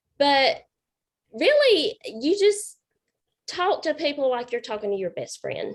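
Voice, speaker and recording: A woman with a Southern accent speaks at a fairly slow pace with long, frequent pauses. Her high pitch moves in very wide swings. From South Carolina. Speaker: paint party instructor. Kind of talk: group video chat.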